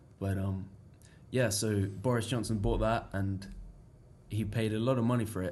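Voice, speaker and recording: A man's fairly low, somewhat breathy voice, monotone and flat, with audible room echo. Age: young. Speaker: international student. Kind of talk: casual interview chat.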